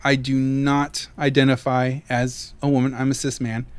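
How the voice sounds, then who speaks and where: A man speaks in a fairly high voice. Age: adult. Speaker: podcast co-host. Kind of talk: casual chat. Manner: voice rises when excited; halting with many fillers.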